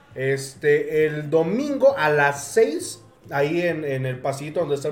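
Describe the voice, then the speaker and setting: A man speaks with a fairly high pitch and fairly even intonation. Noticeable background noise runs behind him. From Pachuca, Mexico. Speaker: podcast host. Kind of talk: casual chat.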